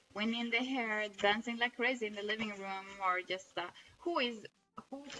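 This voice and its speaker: This woman talks at a fairly high pitch with ordinary pitch variation. Noticeable background noise runs under her voice. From northern Norway. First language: Norwegian. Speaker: amateur artist, blogger. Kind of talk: casual video diary showing drawings. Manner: halting, frequent self-corrections.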